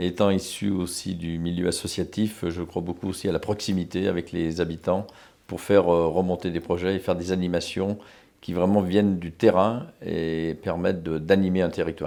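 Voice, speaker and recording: A man's very deep, low voice, dark and mellow in tone, monotone and flat, at a moderate pace. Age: 60s. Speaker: local politician, mayor. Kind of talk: campaign interview. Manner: hesitant, many filler sounds.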